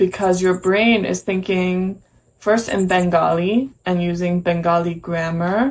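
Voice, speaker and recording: With a plain, everyday voice, a woman speaks fairly slowly at a medium pitch and with fairly even intonation. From United States. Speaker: English teacher. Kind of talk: casual chat.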